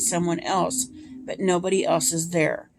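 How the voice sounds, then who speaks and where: A raspy, put-on character voice speaks at a fairly slow pace. Music plays in the background. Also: woman. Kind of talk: second-person adventure story reading. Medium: solo performance.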